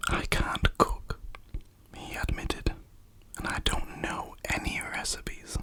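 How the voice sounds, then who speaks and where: A voice whispers at a very slow pace. Noticeable background noise runs underneath. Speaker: ASMR storyteller. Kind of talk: bedtime story reading. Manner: soft-spoken.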